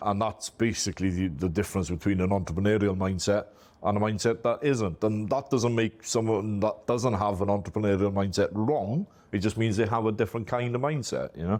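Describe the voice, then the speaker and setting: A man with a strong Welsh accent and a fairly low pitch talks at a fairly quick pace with very even loudness and ordinary pitch variation, the background quiet. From Wales. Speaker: IT company owner. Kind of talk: interview. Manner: talkative, easy flow.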